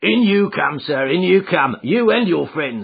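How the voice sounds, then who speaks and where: A man's put-on, gruff character voice, high in pitch, with very wide pitch swings at a moderate pace. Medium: read story. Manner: blunt.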